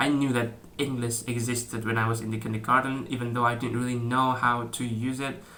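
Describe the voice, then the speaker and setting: A man with an Indonesian accent speaks in a monotone, flat intonation amid audible room echo. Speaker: YouTuber. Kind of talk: casual vlog talk. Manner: halting, many fillers and restarts.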